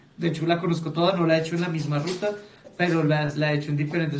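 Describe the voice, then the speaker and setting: Amid noticeable background noise and audible room echo, a man talks at a very fast pace with a fairly high pitch and monotone, flat intonation. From Colombia. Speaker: podcast host. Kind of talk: casual chat.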